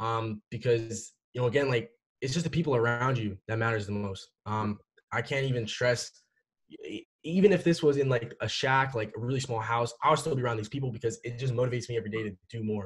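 The speaker talks at a fairly quick pace with ordinary pitch variation. The voice is somewhat breathy. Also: man, medium pitch for a man. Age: young. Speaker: e-commerce entrepreneur. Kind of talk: interview. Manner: casual, many fillers.

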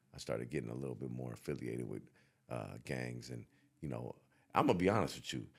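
A man with a very deep, low pitch and vocal fry talks at a very fast pace with ordinary pitch variation, broken by long, frequent pauses. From San Francisco Bay Area. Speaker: rapper. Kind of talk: interview.

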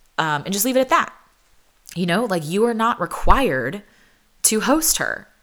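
Speaking at a moderate pace with long, frequent pauses, a woman uses medium pitch, very wide pitch swings and vocal fry. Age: 30s. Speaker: podcast host. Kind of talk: casual chat.

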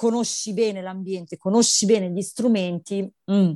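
Against a quiet background, a woman speaks at a moderate pace. Her tone is dark and mellow. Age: 40s. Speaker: mother sharing birth story. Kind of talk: testimony. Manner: animated.

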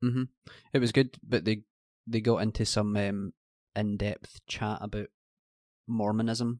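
In a Scottish accent, a man speaks with fairly low pitch and monotone, flat intonation, the sound dry and close with no echo over a quiet background. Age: 30s. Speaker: podcast co-host. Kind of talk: casual chat.

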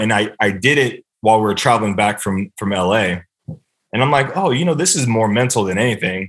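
A man with an American accent and a normal speaking voice talks fairly quickly at a fairly low pitch against a quiet background. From US West Coast. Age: 30s. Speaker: NFL long snapper. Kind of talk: casual interview chat. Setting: podcast interview. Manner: fast, many fillers.

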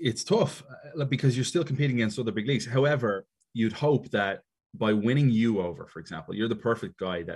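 With an Irish accent, a man speaks fairly quickly at a medium pitch. His intonation is lively, and the background is quiet. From Ireland. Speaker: soccer commentator and wrestling show host. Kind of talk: casual interview chat.

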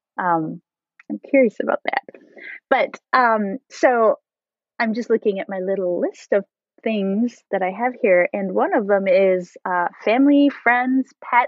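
A woman has an ordinary speaking voice, pitched fairly high. She talks at a fairly slow pace with lively intonation. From French Canadian background. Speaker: podcast host. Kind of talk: casual interview chat.

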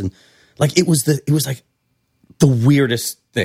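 With an American accent, an ordinary speaking voice moves at a moderate pace with ordinary pitch variation, in a dry, close sound with no echo. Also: man. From California. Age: 40s. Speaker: bartender and restaurateur. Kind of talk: casual chat.

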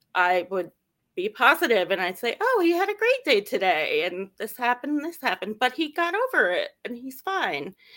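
At a moderate pace, a woman speaks in a bright, sharp tone with very wide pitch swings. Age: 40s. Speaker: parent of a NICU baby, law student. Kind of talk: interview.

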